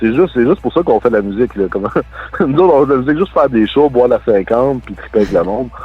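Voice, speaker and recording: Backed by music, a man talks very fast at a medium pitch with lively intonation. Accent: Quebec. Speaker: punk band guitarist. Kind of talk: casual interview. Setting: phone or online call. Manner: loose articulation.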